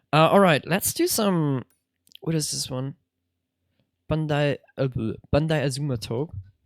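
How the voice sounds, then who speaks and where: A woman's very deep, low voice in a Swiss German accent, with ordinary pitch variation, a fairly slow pace and long, frequent pauses, on a very clean recording with a silent background and a dry, close sound with no echo. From Switzerland (Swiss German). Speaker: streamer. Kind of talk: live gameplay commentary. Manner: animated.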